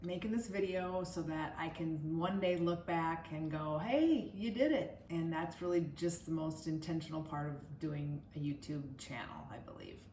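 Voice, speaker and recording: Speech with an Upper Midwest accent at a moderate pace, ordinary pitch variation and audible room echo. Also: woman. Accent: Upper Midwest American. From Minnesota, US Midwest. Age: 60s. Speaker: wellness vlogger. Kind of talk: personal vlog monologue.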